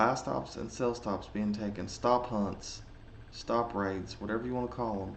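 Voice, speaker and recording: A man speaks with audible room echo around him. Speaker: trading educator. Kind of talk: tutorial. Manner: casual; halting, many fillers.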